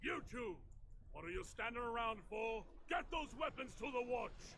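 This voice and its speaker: A man puts on a gruff character voice at an extremely high pitch. He speaks at a moderate pace. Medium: video game. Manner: blunt, gruff.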